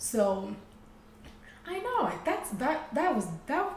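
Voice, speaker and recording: Amid noticeable background noise and audible room echo, a woman with a Rwandan accent speaks with very wide pitch swings. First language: Kinyarwanda. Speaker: podcast co-host. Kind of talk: casual chat. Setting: studio. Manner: halting.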